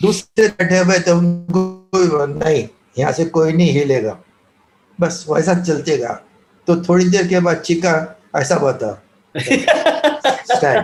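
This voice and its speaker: Music plays in the background. The speech has lively intonation and very even loudness. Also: man, high pitch for a man. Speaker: former cricket team manager. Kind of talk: interview answer, anecdote. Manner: soft-spoken.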